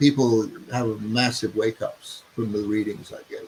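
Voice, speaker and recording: Somewhat breathy and medium in pitch, a man's voice moves at a fairly slow pace. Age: 70s. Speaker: human design teacher and author. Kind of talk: interview. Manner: conversational with fillers.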